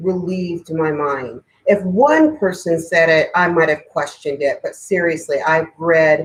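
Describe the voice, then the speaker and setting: A woman with an unremarkable speaking voice talks at a fairly slow pace and a fairly low pitch. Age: 60s. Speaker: spiritual teacher and tarot reader. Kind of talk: live stream talk to viewers. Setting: live online video event. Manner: casual, chatty.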